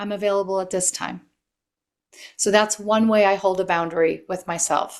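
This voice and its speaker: A normal speaking voice from a woman, medium in pitch with ordinary pitch variation, at a moderate pace in a very clean recording with a silent background. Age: 60s. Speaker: author and life coach. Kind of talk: podcast interview.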